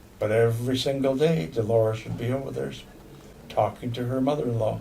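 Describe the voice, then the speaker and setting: A man speaks fairly quickly at a medium pitch with an American accent. Room echo can be heard. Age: 80s+. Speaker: Potawatomi language elder and teacher. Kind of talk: informal monologue to language learners. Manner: halting, repeats words.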